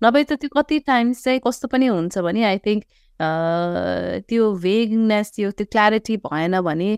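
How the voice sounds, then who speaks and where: In a very clean recording with a silent background, a woman with a Nepali accent talks with ordinary pitch variation. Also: dry, close sound with no echo. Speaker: podcast host. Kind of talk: interview questions.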